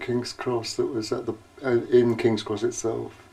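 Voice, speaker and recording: A man's voice with noticeable background noise. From northern England, Chesterfield, Derbyshire. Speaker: oral history interviewee. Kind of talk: interview, casual reminiscence. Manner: halting, hesitant.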